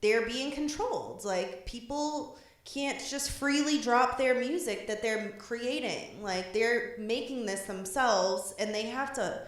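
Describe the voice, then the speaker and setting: A woman with a Boston accent speaks at a very slow pace in a high pitch, with hardly any pauses and ordinary pitch variation. Noticeable background noise and audible room echo are present. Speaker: podcast co-host. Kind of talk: casual chat. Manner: casual, filler-heavy.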